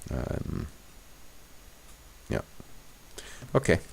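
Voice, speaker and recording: Mumbling with vocal fry, a man speaks at a very slow pace. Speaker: gaming video creator. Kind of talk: let's play commentary. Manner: thinking aloud, casual.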